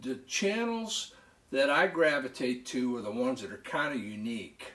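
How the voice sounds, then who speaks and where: A loud man with an American accent at a moderate pace, his pitch swinging very widely. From northern California. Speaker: knife collector YouTuber. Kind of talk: casual vlog talk. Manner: halting.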